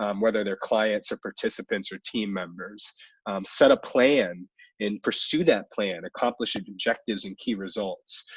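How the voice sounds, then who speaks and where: A man with an American accent, fairly low in pitch, ordinary pitch variation, big swings in loudness, and a dry, close sound with no echo. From US Mid-Atlantic (DC area). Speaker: webinar host, recruiter for fellowship program. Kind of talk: webinar Q&A advice. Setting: video call webinar. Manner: fast.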